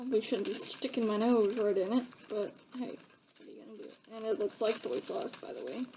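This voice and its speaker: Her fairly high voice shows big swings in loudness and ordinary pitch variation, with noticeable background noise behind this woman. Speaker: YouTuber. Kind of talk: tutorial.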